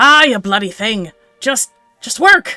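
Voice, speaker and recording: A put-on character voice with fairly high pitch at a fairly slow pace, faint music in the background. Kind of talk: gruff, British-sounding. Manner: frustrated, exasperated.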